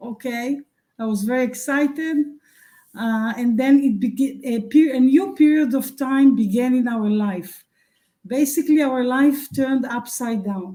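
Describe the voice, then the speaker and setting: Speaking at a fairly slow pace, a woman has a high pitch and a dark, mellow tone. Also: ordinary pitch variation. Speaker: spiritual teacher. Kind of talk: interview. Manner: halting.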